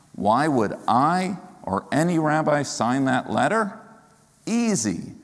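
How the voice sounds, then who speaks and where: In a room with audible echo, a man with a fairly high pitch talks at a very slow pace, his pitch swinging very widely while his loudness stays very even. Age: 50s. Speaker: rabbi. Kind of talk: sermon.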